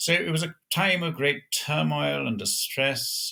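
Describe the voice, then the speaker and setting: In a bright, sharp tone, a man talks with an American accent. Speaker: Orthodox priest, pastor. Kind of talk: interview, conversational storytelling. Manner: measured, formal with hesitations.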